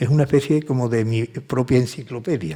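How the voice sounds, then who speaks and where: Dark and mellow in tone, a man's medium-pitched voice carries ordinary pitch variation. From Seville, Andalusia, Spain. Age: 70s. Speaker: author and music producer. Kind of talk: interview conversation at a book talk. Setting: conference with audience.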